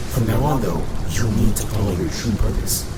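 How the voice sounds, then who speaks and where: A man performs a cartoonish character voice at a fairly quick pace. Loud background noise sits behind him. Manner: solemn, measured.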